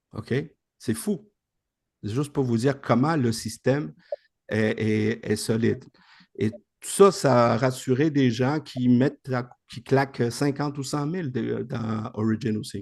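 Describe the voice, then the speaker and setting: Delivered at a very slow pace, the speech carries a Spanish accent and big swings in loudness. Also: man, medium pitch for a man, ordinary pitch variation. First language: Spanish (speaking French). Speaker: investment program presenter. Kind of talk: video call presentation. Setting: video call.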